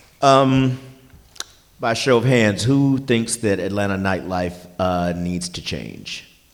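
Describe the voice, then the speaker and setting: At a very slow pace, a man speaks at a fairly low pitch with ordinary pitch variation and long, frequent pauses. Audible room echo surrounds his voice. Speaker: forum moderator. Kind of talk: moderating a public forum. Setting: stage with audience. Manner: loud.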